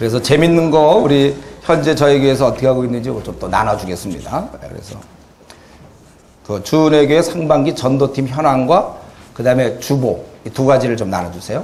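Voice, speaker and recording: There is audible room echo as a man speaks at a fairly quick pace with lively intonation. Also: medium pitch for a man. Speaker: pastor. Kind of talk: lecture. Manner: fast.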